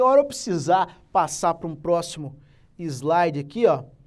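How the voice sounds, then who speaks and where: Audible room echo hangs around a man's voice. He keeps to a moderate pace. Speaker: teacher. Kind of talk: lecture.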